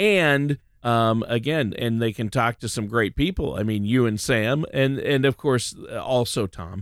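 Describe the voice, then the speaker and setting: A plain, everyday voice from a man with an American accent and medium pitch, at a fairly slow pace with hardly any pauses and ordinary pitch variation, in a dry, close sound with no echo on a very clean recording, silent background. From Minnesota. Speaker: guest co-host of a finance radio show. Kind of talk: casual radio talk.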